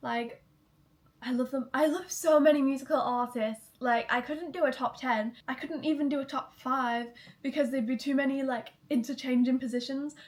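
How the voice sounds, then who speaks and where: Her intonation is fairly even. The woman's pitch is high. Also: moderate pace. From Manchester, England. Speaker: YouTuber. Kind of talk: casual vlog chat.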